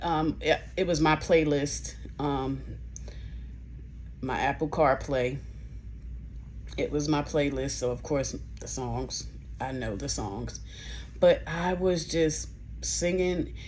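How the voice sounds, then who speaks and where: Very slow speech from a woman, broken by long, frequent pauses, with audible room echo. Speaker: nurse and vlogger. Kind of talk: casual vlog. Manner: slow, with pauses; halting speech.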